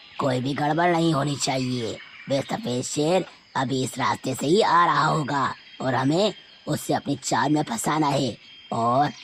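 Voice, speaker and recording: Over clear background noise, a raspy, cartoonish character voice at a low-to-middle pitch talks at a moderate pace. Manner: gloating, scheming, cackling.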